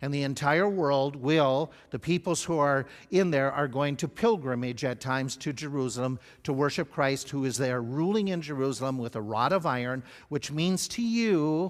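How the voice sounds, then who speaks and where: This man's fairly high pitch shows ordinary variation. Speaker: pastor. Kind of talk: Bible study lecture. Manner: fast.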